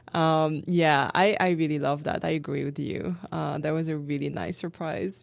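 Speaking with a French accent and hardly any pauses, a woman has a very deep, low pitch, heard over a quiet background. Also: ordinary pitch variation, moderate pace. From France. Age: 30s. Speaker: graduate student and French instructor. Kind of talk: casual interview.

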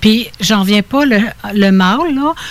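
An unremarkable speaking voice from a woman, medium in pitch, with lively intonation. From Quebec (Laurentides, Estrie), born in Ontario. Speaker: spiritual healer. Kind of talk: interview.

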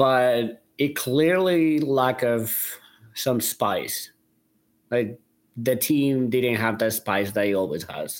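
Speaking very slowly in a Spanish accent, a man with a medium-pitched voice shows ordinary pitch variation in a very clean recording with a silent background. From Colombia. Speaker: soccer fan and player agent. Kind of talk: casual sports podcast chat. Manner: halting.

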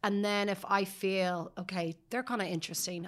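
In a very clean recording with a silent background, a woman speaks in a Dublin accent with monotone, flat intonation. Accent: Dublin Irish. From Dublin, Ireland (Sutton). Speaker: PR agency founder. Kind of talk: interview. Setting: studio.

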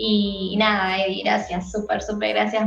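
The room's echo comes through audibly. Behind the sound, music plays. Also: woman. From Argentina, San Luis. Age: 20s. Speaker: singer. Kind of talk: casual interview.

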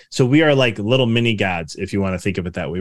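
Over a silent background in a very clean recording, a man with a Chicago accent talks very fast with lively intonation. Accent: Chicago American. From US Midwest, Chicago suburbs. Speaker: business mindset coach and author. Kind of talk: interview.

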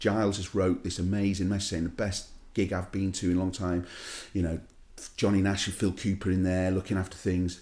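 On a very clean recording with a silent background, a man speaks at a very deep, low pitch. His delivery is fairly quick and monotone, with flat intonation. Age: 40s. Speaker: DJ. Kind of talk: casual chat.

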